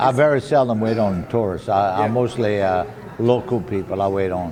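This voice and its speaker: Someone with a Louisiana accent talks over noticeable background noise. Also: man. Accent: Cajun French. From Louisiana Cajun. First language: French. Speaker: waiter. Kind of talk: interview answer. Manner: chatty, folksy.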